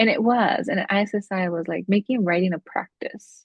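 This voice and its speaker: Somewhat breathy, a woman speaks at a medium pitch. Her pace is moderate, with ordinary pitch variation. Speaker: academic researcher, alumna. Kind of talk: interview. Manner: frequent fillers and hesitations.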